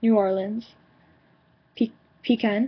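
A woman with an American accent speaks at a fairly slow pace, her fairly high, somewhat breathy voice held to a fairly even intonation. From New York suburbs. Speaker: vlogger. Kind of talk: word list reading. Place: home room. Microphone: webcam.

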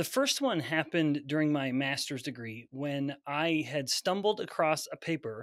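Against a quiet background, a man with a fairly high-pitched voice speaks with ordinary pitch variation in a dry sound with no echo. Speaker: scientist and professor. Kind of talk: interview. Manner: articulate. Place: office.

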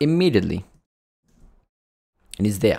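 The voice moves in very wide pitch swings over a quiet background. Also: man. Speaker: coding instructor. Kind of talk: tutorial. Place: home room.

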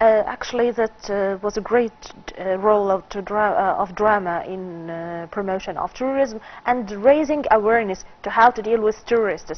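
A woman speaks with an Arabic accent at a moderate pace. Her pitch sits fairly high, with ordinary variation. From Egypt. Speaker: film critic; talk show guest. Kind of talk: TV interview. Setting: studio. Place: studio. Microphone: lapel.

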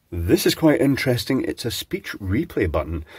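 Nothing much is heard behind the voice, a quiet background. A man speaks at a moderate pace. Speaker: electronics teardown host. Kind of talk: casual electronics teardown talk. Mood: calm, curious. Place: workshop.

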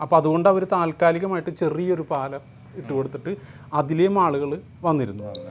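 In a normal speaking voice, a man talks at a fairly high pitch with ordinary pitch variation. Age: 50s. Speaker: sculptor. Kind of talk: interview. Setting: at his home.

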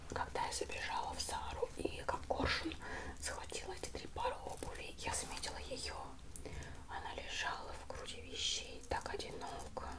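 A woman is whispering, soft-spoken. Loud background noise surrounds her. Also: moderate pace. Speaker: haul vlogger. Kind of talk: casual vlog chat. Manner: soft ASMR whisper, close mic.

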